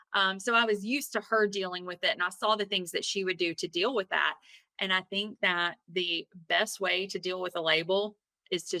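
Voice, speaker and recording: A woman with a Southern US accent and a bright, sharp tone talks fairly quickly at medium pitch with ordinary variation, the sound dry and close with no echo. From US South. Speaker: attorney and spiritual coach. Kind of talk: interview.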